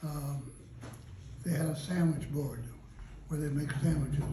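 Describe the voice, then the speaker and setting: A man's voice amid noticeable background noise. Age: 80s+. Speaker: retired police detective. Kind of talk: interview answer.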